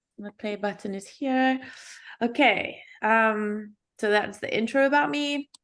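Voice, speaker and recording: With a South African accent, this fairly slow speaker uses ordinary pitch variation and big swings in loudness against a quiet background. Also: woman, fairly high pitch for a woman. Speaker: UX designer, workshop speaker. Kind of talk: workshop presentation.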